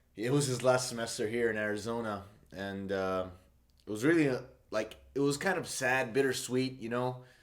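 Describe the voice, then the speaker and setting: Audible room echo surrounds a man speaking at a moderate pace, his medium pitch showing ordinary variation. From Saudi Arabia. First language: Arabic. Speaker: musician. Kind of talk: casual interview monologue. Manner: hesitant, many fillers.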